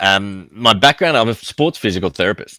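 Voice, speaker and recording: Bright, sharp tone from a man with a fairly low pitch and an Australian accent, dry and close with no echo, on a very clean recording with a silent background. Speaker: physical therapist and safety tech founder. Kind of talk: interview. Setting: live stream.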